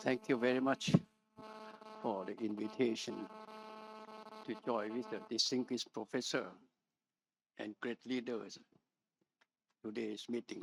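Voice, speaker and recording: With music in the background and a dry, close sound without echo, a man speaks at a fairly slow pace. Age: 90s. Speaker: medical doctor and university president. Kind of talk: panel discussion.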